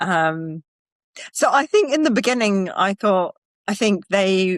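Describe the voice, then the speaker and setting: A woman with a British accent at a very slow pace and medium pitch, lively in intonation, with very even loudness and a dry, close sound with no echo. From United Kingdom. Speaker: wellness practitioner and actor, former finance professional. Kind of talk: podcast interview answer.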